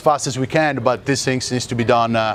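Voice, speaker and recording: A man with a non-native accent speaks at a fairly quick pace amid noticeable background noise. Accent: foreign. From Italy. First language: Italian. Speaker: tech company speaker. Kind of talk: Q&A at a meetup. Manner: hesitant, many fillers.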